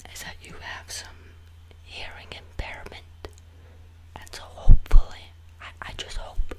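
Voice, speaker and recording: Loud background noise surrounds a man who talks fairly slowly. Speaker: video creator. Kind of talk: playful comedic monologue to camera, ASMR-like. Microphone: studio mic.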